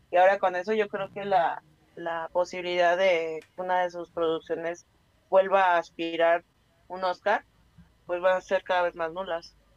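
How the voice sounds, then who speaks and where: A woman speaks at a fairly slow pace with fairly low pitch and monotone, flat intonation. The sound is dry and close, with no echo. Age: 30s. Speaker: radio co-host. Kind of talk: casual chat.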